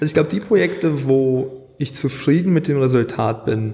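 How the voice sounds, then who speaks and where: A man speaks with a Scottish accent. His voice is somewhat breathy, with a dark, mellow tone. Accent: Scottish-tinged German. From Germany (Hanover) and Scotland. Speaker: graphic designer and videographer. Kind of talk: casual interview.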